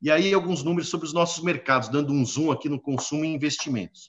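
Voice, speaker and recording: Here a man speaks with ordinary pitch variation. The background stays quiet. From Brazil. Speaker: panel moderator, exchange director; panel moderator. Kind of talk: live-streamed panel discussion. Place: office. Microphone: video call.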